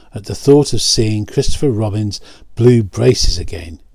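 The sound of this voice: The voice is an unforced reading voice. That is how it comes across.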